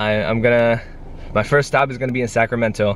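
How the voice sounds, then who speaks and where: Light background noise sits behind a man talking at a fairly quick pace. The sound is dry, with no echo. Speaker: vlogger. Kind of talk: casual vlog chat. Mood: excited, a bit emotional. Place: car. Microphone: phone near.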